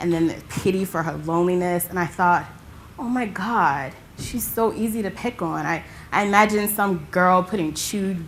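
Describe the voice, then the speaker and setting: A woman's unremarkable speaking voice, at a medium pitch and a moderate pace. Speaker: stage performer. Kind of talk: theatre monologue performance. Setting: theatre stage.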